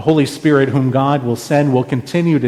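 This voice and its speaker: This man speaks at a medium pitch. His pace is moderate. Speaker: pastor preaching a sermon. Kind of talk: church sermon.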